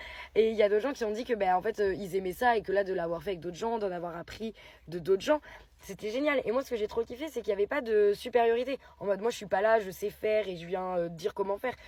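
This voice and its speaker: A woman at a very fast pace, her dark, mellow tone at medium pitch with ordinary pitch variation. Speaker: poet and writing workshop leader. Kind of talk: casual vlog. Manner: animated.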